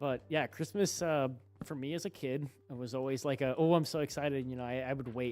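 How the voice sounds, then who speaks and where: Ordinary pitch variation carries this fairly quick delivery. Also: man. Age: 20s. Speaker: streamer. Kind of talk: casual chat. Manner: halting; animated.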